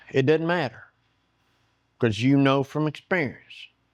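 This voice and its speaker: Pitched fairly high, a man talks with a Southern US accent. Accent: Southern US, noticeable. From US South. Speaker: woodworking YouTuber. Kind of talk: casual chat; tutorial. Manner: halting.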